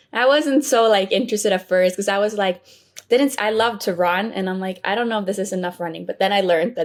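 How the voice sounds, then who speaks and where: A woman of medium pitch talks at a very fast pace. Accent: Swedish. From Sweden. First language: Swedish. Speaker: college tennis player. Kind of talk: interview.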